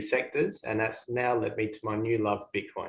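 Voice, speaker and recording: Delivery is fairly quick, with monotone, flat intonation. The man's medium-pitched voice sounds somewhat breathy. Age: 30s. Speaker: engineer and podcast co-host. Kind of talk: self-introduction.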